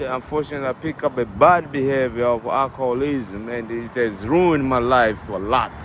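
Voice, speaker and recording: Over noticeable background noise, a man with a strong African accent speaks at a medium pitch with ordinary pitch variation. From Tanzania. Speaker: interviewee sharing addiction story. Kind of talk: street interview.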